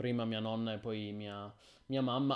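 Against quiet surroundings, the words come at a moderate pace. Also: man. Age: 30s. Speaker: gaming streamer. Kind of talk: live stream chat. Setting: live stream. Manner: halting. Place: home room.

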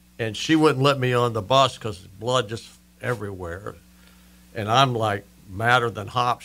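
A man speaks with ordinary pitch variation. His tone is bright and sharp. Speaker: radio guest. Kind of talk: interview answer, storytelling. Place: studio. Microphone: studio mic.

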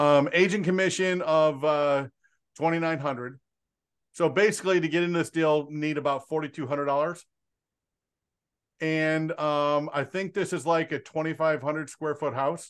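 Against a quiet background, the speech is broken by long, frequent pauses. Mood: calm, matter-of-fact. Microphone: video call.

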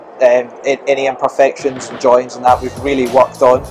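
A man speaks over music playing in the background. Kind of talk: interview answer. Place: hall. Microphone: lapel.

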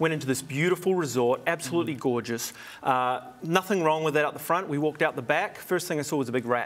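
This man talks at a very fast pace with a New Zealand accent, his fairly high pitch showing ordinary variation. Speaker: hospitality consultant and TV host. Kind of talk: TV interview. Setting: studio. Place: studio. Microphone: lapel.

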